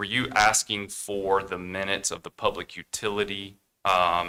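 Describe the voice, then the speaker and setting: Speaking with an American accent, a man delivers fairly low, monotone, flat lines at a moderate pace in a very clean recording with a silent background, the sound dry and close with no echo. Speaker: county commissioner. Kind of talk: public meeting remarks. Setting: county board meeting room. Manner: hesitant, many fillers.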